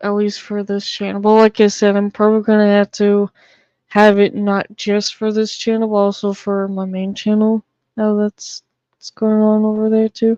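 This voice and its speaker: Speaking with an American accent, a woman has a dark, mellow tone at a medium pitch, her intonation monotone and flat. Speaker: streamer. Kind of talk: casual livestream chat. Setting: live stream.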